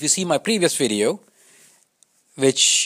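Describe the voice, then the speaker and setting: A man with a non-native accent talks at a moderate pace in a fairly high pitch with very wide pitch swings. The sound is dry and close, with no echo. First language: not English. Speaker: YouTube commentator. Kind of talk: casual commentary. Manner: halting.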